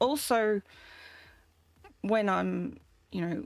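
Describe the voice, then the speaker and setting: A woman with an Australian accent speaks at a fairly slow pace. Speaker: vtuber streamer. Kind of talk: casual live stream chat. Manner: halting, many fillers.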